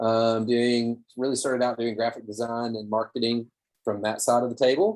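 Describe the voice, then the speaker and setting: With a Southern US accent, a man speaks at medium pitch. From Tennessee, Cookeville (US South). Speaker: small business owner, marketing and design consultant. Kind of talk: webinar presentation. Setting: video call.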